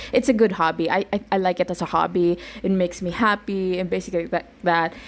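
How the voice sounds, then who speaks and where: A woman with a Filipino accent talks at a medium pitch and a very fast pace. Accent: Filipino-accented English, called wonky. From Visayas, Philippines. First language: Bisaya (Cebuano). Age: 20s. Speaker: podcaster and YouTuber. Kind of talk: casual chat, code-switching English and Tagalog. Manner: animated.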